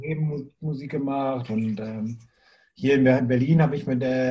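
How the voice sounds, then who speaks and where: A man speaks at a very slow pace in a fairly high, somewhat breathy voice. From Bremen, northern Germany. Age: 40s. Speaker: music booker and former punk drummer. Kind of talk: casual interview.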